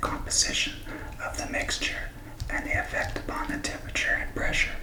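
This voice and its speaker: Noticeable background noise surrounds a man's whisper. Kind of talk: ASMR reading for sleep. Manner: whispered, soft.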